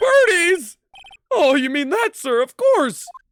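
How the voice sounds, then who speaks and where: Over background music, a put-on character voice at an extremely high pitch swings very widely while moving at a fairly slow pace. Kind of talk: courtroom speech. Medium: game stream. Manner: dramatic reading of game text.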